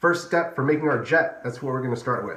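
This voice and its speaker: Man's voice with ordinary pitch variation, audible room echo and noticeable background noise. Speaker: engineer guest-hosting a kindergarten activity video. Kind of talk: tutorial for young children. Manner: fast.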